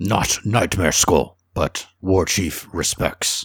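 A man puts on a character voice, fairly low in pitch and raspy. He speaks at a very slow pace. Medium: actual play. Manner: broken, clipped speech.

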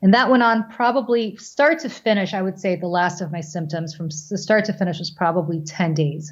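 The recording is very clean with a silent background. A woman speaks at medium pitch and moderate pace, somewhat breathy, with ordinary pitch variation and hardly any pauses. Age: 40s. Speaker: business owner and mother. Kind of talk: casual chat.

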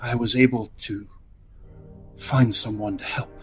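A put-on character voice from a man, medium in pitch, at a fairly slow pace, with clear music in the background. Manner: soothing, wistful.

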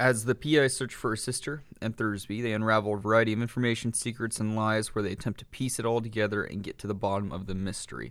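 With a General American accent, a man talks at a very fast pace with hardly any pauses, his fairly low voice holding a fairly even intonation on a very clean recording with a silent background. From San Francisco Bay Area. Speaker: movie podcast co-host. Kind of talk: casual chat.

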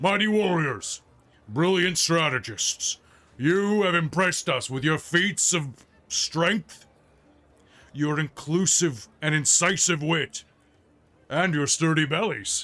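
A man's put-on character voice, fairly high in pitch and fairly slow, with long, frequent pauses, on a very clean recording with a silent background.

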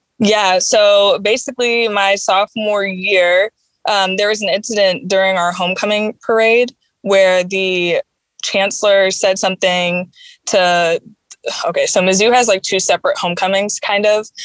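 A woman with an American accent has an ordinary speaking voice at a medium pitch, moderate pace, fairly even intonation and very even loudness, her sound dry and close with no echo in a very clean recording with a silent background. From Chicago. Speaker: veterinary student. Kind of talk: interview.

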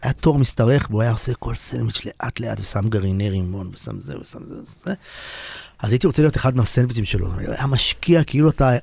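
An unremarkable speaking voice from a man at medium pitch, fairly quick in pace, with lively intonation and big swings in loudness. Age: 40s. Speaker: singer-songwriter and guitarist. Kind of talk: radio interview, casual chat.

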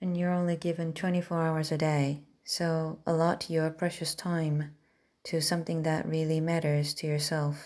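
A woman with a non-native accent speaks at a moderate pace in a very deep voice with monotone, flat intonation, recorded very cleanly over a silent background. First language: not English. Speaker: self-improvement podcaster. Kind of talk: motivational monologue.

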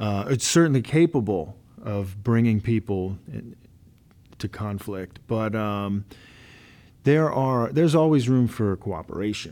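A man with a dark, mellow tone speaks fairly slowly at a fairly low pitch. His intonation is lively, and the recording is very clean with a silent background. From Louisiana. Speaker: podcast host, university staff. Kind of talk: podcast interview. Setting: studio.

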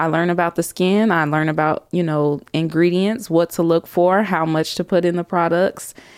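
A woman with a plain, everyday voice speaks in an American accent at a fairly low pitch, keeping a moderate pace with hardly any pauses. Her intonation is fairly even and her loudness very even, on a very clean recording with a silent background. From Chicago South Suburbs, US. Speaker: esthetician and business owner. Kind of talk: interview.

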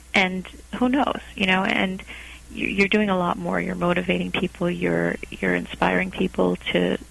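Noticeable background noise sits behind a woman who talks at a fairly slow pace. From Portugal. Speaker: HR consultant, company founder. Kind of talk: interview.

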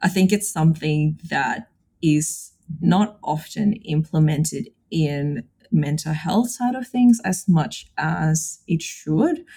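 A woman with a very deep, low pitch and a dark, mellow tone talks at a very slow pace, somewhat breathy, her intonation lively and her pauses long and frequent. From Indonesia. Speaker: psychologist. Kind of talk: casual chat.

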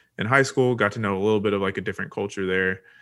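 Here is an unremarkable speaking voice from a man with an American accent. It sits fairly low, with ordinary pitch variation. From Texas. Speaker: nonprofit founder and podcast co-host. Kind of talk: faith-based interview conversation. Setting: video call.

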